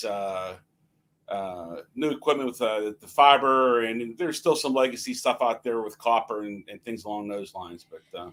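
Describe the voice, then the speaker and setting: With lively intonation, a man talks at a moderate pace and a medium pitch. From Pittsburgh area, US. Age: 60s. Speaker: network telecom technician, guest. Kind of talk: casual chat.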